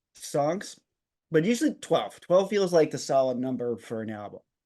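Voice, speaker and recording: A man with an American accent speaks in a fairly high pitch with very wide pitch swings. The background is quiet. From US, Long Island, New York. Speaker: podcast co-host. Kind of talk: casual chat. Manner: animated, stumbling over words when excited.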